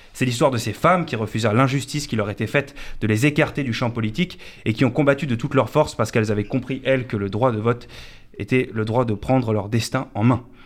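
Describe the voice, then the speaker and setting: This man talks at a very fast pace with ordinary pitch variation. His pitch sits in the medium range. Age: 20s. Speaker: comedian. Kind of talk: comic monologue. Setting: radio studio.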